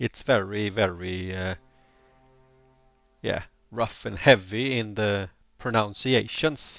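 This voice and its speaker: Over music in the background, a man with a slight Gothenburg accent speaks at a very slow pace with long, frequent pauses, a fairly low pitch and ordinary pitch variation. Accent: mild Gothenburg Swedish. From Sweden, Gothenburg. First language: Swedish. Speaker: video game streamer. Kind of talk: casual chat. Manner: halting.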